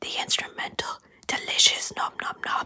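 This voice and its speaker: Whispering at a fairly slow pace, a man speaks. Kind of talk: casual music album review. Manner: whispered.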